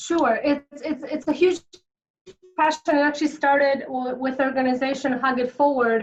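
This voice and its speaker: With a Polish accent, a woman speaks at a moderate pace in a high pitch, her intonation monotone and flat. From Poland, moved to Chicago at 14. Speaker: author and entrepreneur. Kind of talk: interview.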